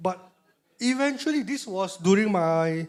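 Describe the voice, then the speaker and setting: A man with a high pitch talks in an animated tone with lively intonation. The recording is very clean, with a silent background. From Malaysia. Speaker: motivational speaker. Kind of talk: motivational talk.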